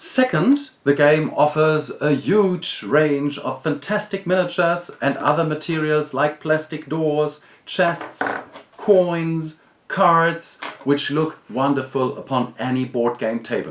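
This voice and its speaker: A man at a fairly high pitch with a German accent, at a very slow pace, amid noticeable background noise. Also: ordinary pitch variation. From Germany. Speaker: board game reviewer. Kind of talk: video review.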